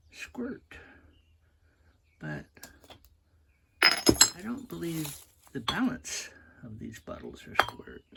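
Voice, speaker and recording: A man talks at a very slow pace, leaving long, frequent pauses, and his loudness swings widely. Background noise is noticeable. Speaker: video creator exploring abandoned places. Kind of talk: casual exploration vlog narration. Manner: halting, with many fillers.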